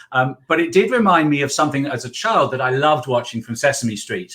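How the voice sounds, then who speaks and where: With an English accent, a man talks at a fairly quick pace in a bright, sharp tone. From England. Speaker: accountant and business mentor. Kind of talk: interview.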